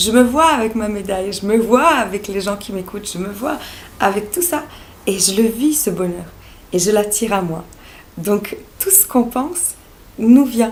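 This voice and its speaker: The speaker has a Serbo-Croatian accent and lively intonation, at a fairly slow pace with long, frequent pauses. Audible room echo and noticeable background noise fill the recording. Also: woman, fairly high pitch for a woman. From Bosnia (Sarajevo). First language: Serbo-Croatian (speaking French). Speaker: naturopath and life coach. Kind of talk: vlog monologue. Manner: hesitant, many fillers.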